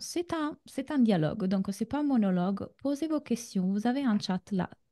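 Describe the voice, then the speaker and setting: A woman with a slight Italian accent, somewhat breathy, at a moderate pace and fairly high pitch, with lively intonation, a dark, mellow tone and a dry, close sound with no echo over a quiet background. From Italy. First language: Italian (speaking French). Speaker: relationship coach. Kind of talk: online masterclass. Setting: video call. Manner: hesitant, many fillers.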